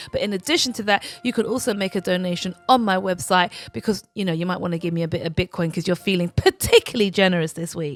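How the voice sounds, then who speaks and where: With music in the background, a woman with a British accent speaks at a very fast pace in a playful tone, her medium pitch showing ordinary variation, the sound dry and close with no echo. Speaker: royal news commentator. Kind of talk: casual commentary monologue. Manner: chatty, playful.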